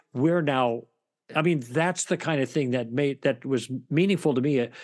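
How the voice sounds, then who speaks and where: A man in an ordinary speaking voice talks at a fairly high pitch and moderate pace with ordinary pitch variation, against a quiet background. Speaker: author and former broadcaster. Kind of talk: interview about his book.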